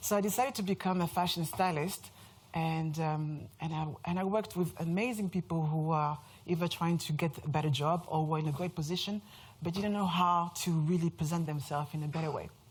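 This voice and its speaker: A woman speaks with a French accent, her fairly low voice somewhat breathy with ordinary pitch variation. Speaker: brand strategist. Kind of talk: conference talk. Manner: animated.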